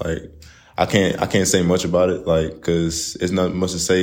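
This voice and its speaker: With a Texan accent, a man speaks at a fairly quick pace in a very deep, low voice, with audible room echo. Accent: Southeast Texas, near Louisiana. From Southeast Texas, Port Arthur. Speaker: college basketball player. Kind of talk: casual interview. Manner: halting, many fillers.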